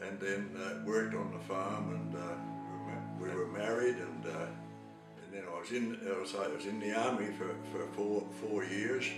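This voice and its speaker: Clear music plays behind a man speaking at a fairly slow pace. Room echo is audible. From South Australia. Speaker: retired Baptist pastor. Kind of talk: interview answer. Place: home room. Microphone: camera far.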